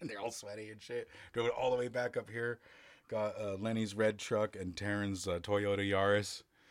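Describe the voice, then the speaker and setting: A man with a normal speaking voice, fairly low in pitch, at a moderate pace. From US West Coast. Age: 30s. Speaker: rock band vocalist. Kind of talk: casual chat.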